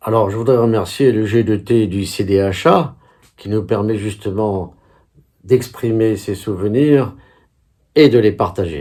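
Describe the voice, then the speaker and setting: A man's dark, mellow tone at a fairly low pitch, very slow and full of long, frequent pauses, on a very clean recording with a silent background. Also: ordinary pitch variation. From Algeria (pied-noir, Sidi Bel Abbès). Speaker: award-winning amateur writer. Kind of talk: acceptance speech. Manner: halting. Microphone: too quiet in his own ears.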